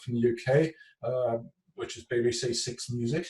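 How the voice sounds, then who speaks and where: Somewhat breathy, a man talks with a strong British accent and ordinary pitch variation. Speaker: artist. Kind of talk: interview. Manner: hesitant, many fillers.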